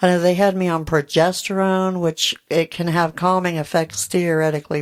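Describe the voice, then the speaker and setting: On a very clean recording with a silent background, a woman speaks at a moderate pace. Her pitch is fairly low. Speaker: podcast co-host. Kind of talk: casual chat.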